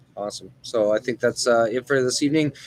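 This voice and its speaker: Very fast speech from a man at a medium pitch, with fairly even intonation and noticeable background noise. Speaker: gaming channel host. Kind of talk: casual chat. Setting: in a store. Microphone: laptop.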